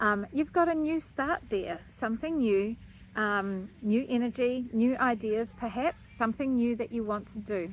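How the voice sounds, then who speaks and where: A woman's plain, everyday voice at a fairly high pitch, fairly slow in pace, with lively intonation. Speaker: astrologer. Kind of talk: astrology forecast monologue. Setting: outdoors.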